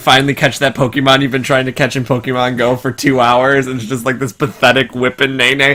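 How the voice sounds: Simply a natural reading voice.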